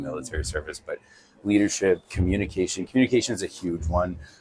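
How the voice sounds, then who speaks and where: A man talks at a very fast pace in a very deep, low voice with a Canadian accent. Music plays in the background. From Airdrie, Alberta, Canada. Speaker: city council candidate, military veteran. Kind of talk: interview answer.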